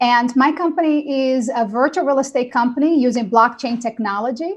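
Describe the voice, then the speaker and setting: A woman with a Portuguese accent speaks at a fairly quick pace, high in pitch, with ordinary pitch variation. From Brazil. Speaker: real estate company founder. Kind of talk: panel webinar talk.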